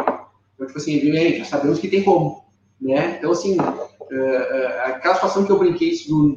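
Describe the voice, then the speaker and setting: A man with a fairly high pitch talks in a normal speaking voice. His intonation is lively and his pace is moderate. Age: 30s. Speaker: furniture business owner. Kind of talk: interview. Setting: live stream.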